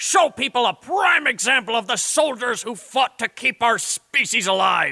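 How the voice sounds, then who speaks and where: Raising and projecting his voice, a man performs a put-on character voice at a high pitch. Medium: audio drama. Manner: gruff, blustering, boastful.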